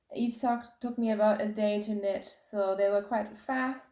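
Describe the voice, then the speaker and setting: This woman's voice sits at a fairly high pitch, with a dark, mellow tone and fairly even intonation. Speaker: knitting podcaster. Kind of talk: casual video podcast chat.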